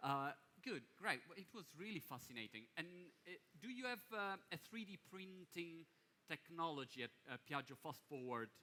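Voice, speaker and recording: Speaking in an Italian accent, a man with a high, bright, sharp voice moves at a moderate pace through very wide pitch swings. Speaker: event moderator. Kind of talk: live event moderation. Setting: stage with audience. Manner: animated.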